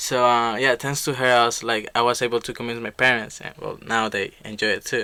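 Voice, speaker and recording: With a Spanish accent, a man speaks at a fairly quick pace with hardly any pauses, at medium pitch, in a bright, sharp tone and monotone, flat intonation. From Colombia. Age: young. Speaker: young musician. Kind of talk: casual interview.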